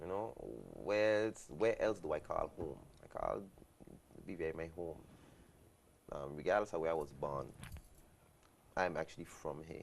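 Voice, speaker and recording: A man with a very deep, low voice speaks in a British Virgin Islands accent with ordinary pitch variation. His moderate pace is broken by long, frequent pauses. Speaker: guest. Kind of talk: talk show conversation.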